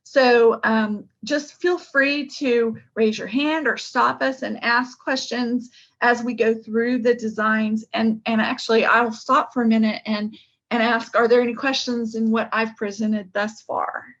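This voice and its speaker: A woman has an ordinary speaking voice, fairly high in pitch, with fairly even intonation. She talks at a fairly slow pace against a quiet background. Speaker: project manager presenting an engineering study. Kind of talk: technical presentation on video call. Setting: video call.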